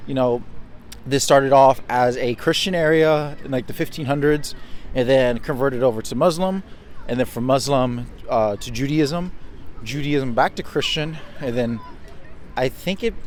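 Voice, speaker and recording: Over noticeable background noise, the voice moves at a moderate pace with ordinary pitch variation and long, frequent pauses. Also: man. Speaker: travel vlogger. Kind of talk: casual vlog talk to camera.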